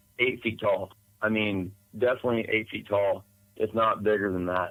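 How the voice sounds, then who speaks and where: In an Appalachian accent, a man speaks at a moderate pace and a medium pitch. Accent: Southern US (Appalachian). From East Tennessee. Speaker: eyewitness storyteller. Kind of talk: podcast interview testimony. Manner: halting, many fillers.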